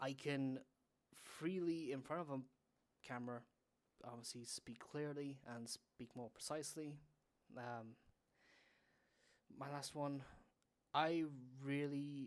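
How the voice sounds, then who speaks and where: The speaker mumbles, leaving long, frequent pauses. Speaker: podcaster and streamer. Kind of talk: casual interview chat. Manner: mumbling; halting.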